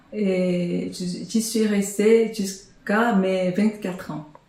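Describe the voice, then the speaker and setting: A woman speaks in a medium pitch with monotone, flat intonation. Noticeable background noise and audible room echo surround her voice. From South Korea, Busan. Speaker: language teacher. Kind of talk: documentary interview testimony.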